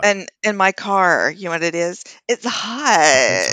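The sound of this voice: A man's put-on character voice, whiny and high-pitched, at a very slow pace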